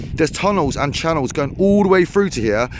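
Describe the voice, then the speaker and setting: A man with a high pitch speaks at a fairly quick pace, with noticeable background noise behind him. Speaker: fishing vlogger. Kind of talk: casual vlog narration. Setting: outdoors. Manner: loud.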